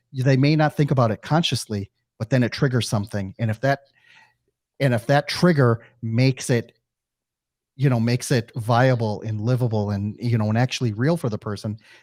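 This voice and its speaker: With a slight Midwestern accent, a man speaks at a medium pitch on a very clean recording with a silent background. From US Midwest. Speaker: podcast host. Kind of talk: interview. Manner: halting, many fillers.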